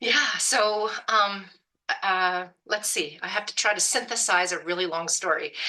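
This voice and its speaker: A woman speaks with a western Canadian accent at a medium pitch. Her tone is bright and sharp, and her pace fairly slow. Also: ordinary pitch variation. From Canada, Alberta. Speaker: hunting program founder. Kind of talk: podcast interview.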